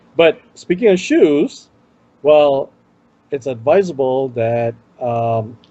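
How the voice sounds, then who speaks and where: A man with an Indian accent and a fairly high pitch talks very slowly, with long, frequent pauses. His intonation is lively. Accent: Indian accent, self-noted. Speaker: tech show co-host. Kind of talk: casual chat.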